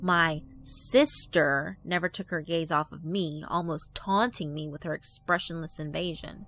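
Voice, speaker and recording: A woman with a fairly low pitch talks at a fairly slow pace. Music plays in the background. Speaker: horror story narrator. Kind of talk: horror fiction narration.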